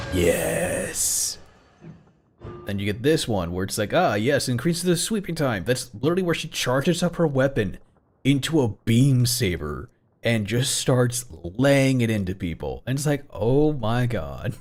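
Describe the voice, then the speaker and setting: A man's voice with vocal fry, very wide pitch swings and a fairly slow pace. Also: medium pitch for a man. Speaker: vtuber streamer. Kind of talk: casual chat. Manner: animated.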